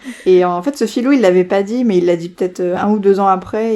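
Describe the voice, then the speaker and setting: Ordinary pitch variation in a woman's speech, with noticeable background noise throughout. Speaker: podcast co-host. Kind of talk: casual chat. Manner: fast.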